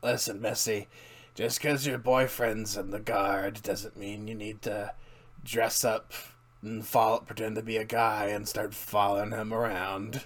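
A man's put-on character voice, medium in pitch and monotone with flat intonation. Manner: smug, condescending.

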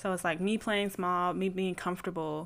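A woman with a normal speaking voice at fairly low pitch and a moderate pace, on a very clean recording with a silent background. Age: 20s. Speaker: podcast host. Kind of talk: casual monologue.

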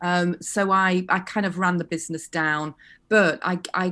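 Very slow speech with a Yorkshire accent and fairly even intonation. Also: woman. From West Yorkshire, England. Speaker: fashion lecturer. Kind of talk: interview. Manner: halting, many fillers and restarts.

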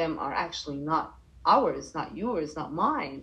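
The voice is somewhat breathy. It comes with an Arabic accent. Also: woman. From Egypt, Cairo. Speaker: life coach. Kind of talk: interview.

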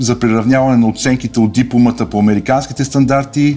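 Music plays in the background as a man speaks at a medium pitch with fairly even intonation. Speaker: volleyball coach and student-athlete recruiting agent. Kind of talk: podcast interview.

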